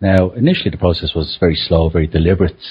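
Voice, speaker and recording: A very deep, low-pitched man's voice with an Irish accent, somewhat breathy, at a very fast pace with ordinary pitch variation. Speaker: conference attendee. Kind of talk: casual discussion.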